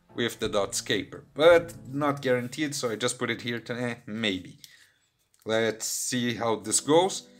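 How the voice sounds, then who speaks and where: A man at medium pitch and fairly slow pace, ordinary pitch variation, music in the background. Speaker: gaming youtuber. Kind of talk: gameplay commentary.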